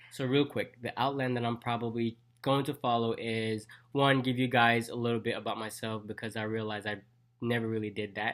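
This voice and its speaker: Speaking fairly quickly, the man uses a flat, monotone delivery at a medium pitch. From Jamaica. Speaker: dentist and vlogger. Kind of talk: casual vlog talk.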